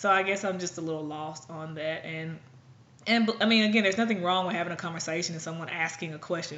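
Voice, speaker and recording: A woman's fairly low voice at a fairly quick pace, with audible room echo. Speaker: blogger. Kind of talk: vlog monologue. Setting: at home.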